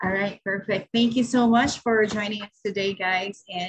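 Over a quiet background, a woman talks at a moderate pace. Her pitch varies in an ordinary way. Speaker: virtual assistant agency coordinator; host welcoming a client. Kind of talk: meeting facilitation. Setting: video call. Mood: warm, upbeat, welcoming. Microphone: video call.

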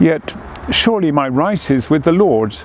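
Quiet and solemn in tone, a man speaks at a fairly slow pace with lively intonation, the sound dry with no echo and light background noise behind him. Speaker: cathedral dean leading prayers. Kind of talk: fervent prayer, intoning liturgy and blessing; scripture reading. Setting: outdoors in a garden. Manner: solemn, slow, reverent, hushed, measured cadence; formal. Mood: calm, solemn. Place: garden.

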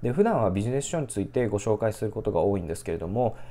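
In a fairly low, dark and mellow tone, a man talks at a very fast pace. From Japan. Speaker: book review YouTuber. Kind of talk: solo video book review. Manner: polite, formal, filler-heavy, hesitant. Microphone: phone near.

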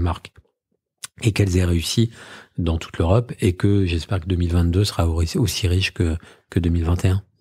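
A man's very deep, low, somewhat breathy voice with a dark, mellow tone and fairly even intonation, in a very clean recording with a silent background. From Normandy, France (Trouville). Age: 40s. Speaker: media group founder and executive. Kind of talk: interview.

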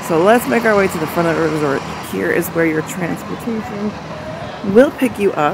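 Over noticeable background noise, a woman speaks at a fairly low pitch with lively intonation. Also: dry sound with no echo. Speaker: travel vlogger. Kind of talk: casual vlog chat. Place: street. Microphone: phone near.

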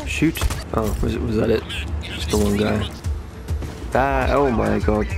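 Over music in the background, a man with a very deep, low voice speaks at a fairly slow pace with very wide pitch swings and long, frequent pauses. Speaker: gaming channel host. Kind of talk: gameplay commentary, casual talk over a video game. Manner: excited, flustered, reactive.

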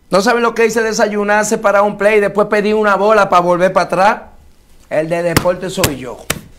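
A man's high-pitched voice moves at a fairly quick pace with fairly even intonation over noticeable background noise. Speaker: local political candidate, former baseball player. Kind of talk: interview.

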